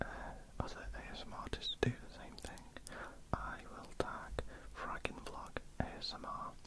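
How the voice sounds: A woman is whispering. Her words come out in a whisper.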